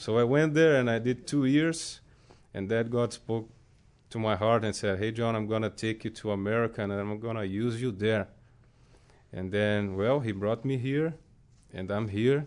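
A medium-pitched man with a Brazilian accent speaks with long, frequent pauses against a quiet background. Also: ordinary pitch variation, moderate pace. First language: Portuguese. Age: 30s. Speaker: Bible school student. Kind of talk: testimony. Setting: studio.

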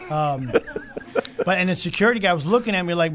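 A high-pitched man with a Chicago accent, at a very fast pace with ordinary pitch variation. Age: 50s. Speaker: Bible college student and restaurant owner. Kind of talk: testimony. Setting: studio with live audience.

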